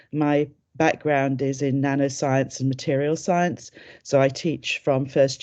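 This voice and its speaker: Against a quiet background, a woman with a British accent speaks in a dark, mellow tone at a very deep, low pitch with fairly even intonation. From UK. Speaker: chemistry lecturer and academic advisor. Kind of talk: informational webinar presentation. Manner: hesitant, many fillers.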